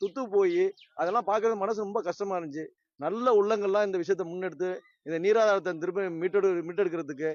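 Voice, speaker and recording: With fairly even intonation, this man's voice sits high in pitch. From Tamil Nadu, Pattukkottai. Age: 50s. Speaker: local resident. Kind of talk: interview statement.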